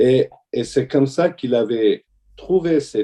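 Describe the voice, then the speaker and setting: A man's dark, mellow tone with lively intonation. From Syria, Damascus (Armenian family). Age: 60s. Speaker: orthodox deacon. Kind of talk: testimony. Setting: video call. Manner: halting.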